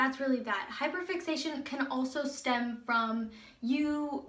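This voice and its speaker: A woman's speech carries audible room echo, with background noise clearly present. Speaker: video blogger. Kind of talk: casual personal vlog. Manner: animated.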